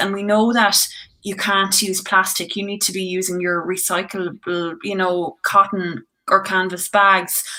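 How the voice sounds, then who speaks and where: Here a woman speaks at a moderate pace. Her pitch is medium. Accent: Irish. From Ireland, County Tipperary. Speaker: singer-songwriter. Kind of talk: casual chat.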